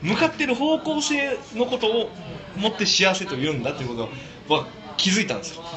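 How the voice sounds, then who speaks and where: Over noticeable background noise, a high-pitched man with a Kansai accent talks fairly quickly, his pitch swinging very widely. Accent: Kansai Japanese. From Osaka. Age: 30s. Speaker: speaker at community talk event. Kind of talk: casual talk to a small audience.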